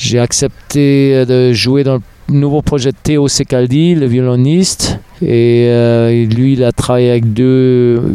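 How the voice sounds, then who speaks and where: At a very slow pace, a man speaks with fairly even intonation. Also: medium pitch for a man, very even loudness. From Germany, West Berlin. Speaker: drummer and percussionist. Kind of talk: interview conversation.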